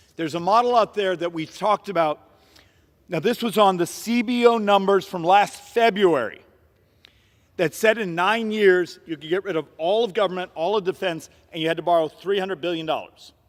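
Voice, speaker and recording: Fairly quick delivery with ordinary pitch variation. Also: man, high pitch for a man. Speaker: congressman. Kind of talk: floor speech. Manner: fast.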